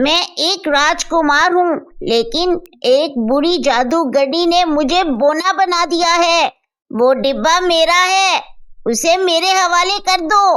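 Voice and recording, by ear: A woman uses a cartoonish character voice, extremely high in pitch, at a fairly slow pace.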